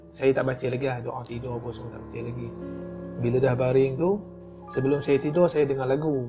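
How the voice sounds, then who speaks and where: Music plays behind a man whose medium-pitched voice shows ordinary pitch variation. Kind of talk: casual personal storytelling to camera. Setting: earphone microphone.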